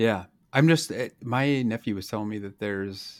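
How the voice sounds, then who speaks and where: In a very clean recording with a silent background, a man has an ordinary speaking voice, talking at a moderate pace with ordinary pitch variation. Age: 40s. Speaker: gaming podcast host. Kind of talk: casual chat.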